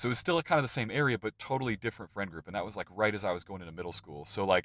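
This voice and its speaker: Very fast American-accented speech from a man, fairly low in pitch, with lively intonation, big swings in loudness, and a dry, close sound with no echo. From central Illinois, US Midwest. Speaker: podcast host. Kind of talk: casual interview chat. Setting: truck recording studio, remote call.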